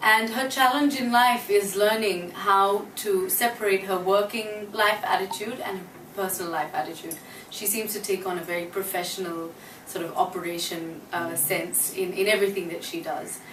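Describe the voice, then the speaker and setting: A woman with a medium-pitched voice talks at a moderate pace with ordinary pitch variation, heard with audible room echo and noticeable background noise. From Australia. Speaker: actress. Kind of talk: interview. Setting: her apartment.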